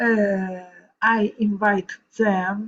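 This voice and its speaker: A woman with an Italian accent talks in a somewhat breathy, medium-pitched voice with monotone, flat intonation. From Italy, Rome. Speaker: vocal coach. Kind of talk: reading aloud. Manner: halting.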